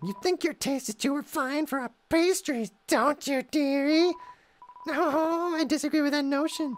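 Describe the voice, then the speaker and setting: A man puts on a character voice, pitched extremely high, and keeps a moderate pace. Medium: game stream. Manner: sweetly menacing, teasing, polite; amused, mocking.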